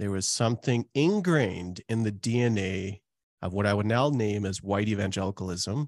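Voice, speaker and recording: A man with a Canadian accent has a plain, everyday voice, fairly low in pitch with ordinary pitch variation, at a moderate pace. The quiet background leaves a dry, close sound with no echo. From Calgary, Canada. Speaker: pastor and author. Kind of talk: casual interview chat.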